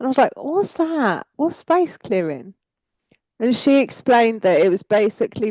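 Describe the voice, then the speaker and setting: With a strong English accent and a dark, mellow tone, the voice moves at a moderate pace in a dry, close sound with no echo. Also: woman. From England. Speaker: psychic energy worker. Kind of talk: casual chat.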